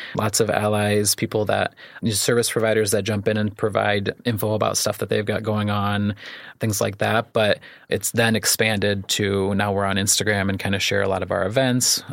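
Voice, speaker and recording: In a very clean recording with a silent background, a man with a Midwestern American accent speaks at a fairly low pitch and moderate pace, his intonation monotone and flat and his loudness very even. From US Midwest, Iroquois County, Illinois. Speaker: therapist and community organizer. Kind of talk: interview conversation.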